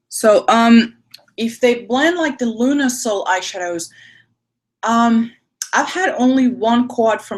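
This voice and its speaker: A woman speaks at a fairly slow pace and high pitch. Her pitch varies in an ordinary way. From Spain. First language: French and Spanish. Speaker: beauty youtuber. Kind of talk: live makeup tutorial. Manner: casual, hesitant.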